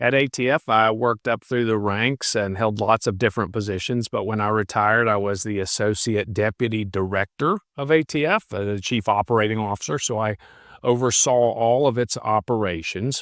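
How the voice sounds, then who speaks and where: In a West Virginia accent, a man speaks at a fairly quick pace with hardly any pauses, medium pitch and ordinary pitch variation. The recording is very clean with a silent background and a dry, close sound with no echo. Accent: West Virginia accent, noticeable. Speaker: retired federal agent and law professor. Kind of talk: podcast interview.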